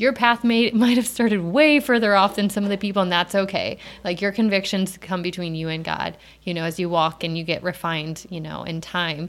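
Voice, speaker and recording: A woman talks at a fairly quick pace in a medium pitch with ordinary pitch variation. It is a normal speaking voice. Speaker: podcast host, mom. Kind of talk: casual interview chat.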